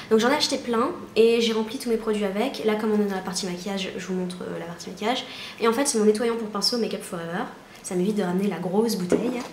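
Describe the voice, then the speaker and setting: Over noticeable background noise and audible room echo, a woman talks very fast at a medium pitch with ordinary pitch variation. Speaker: beauty vlogger. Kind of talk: casual vlog tutorial. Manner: hesitant, many fillers.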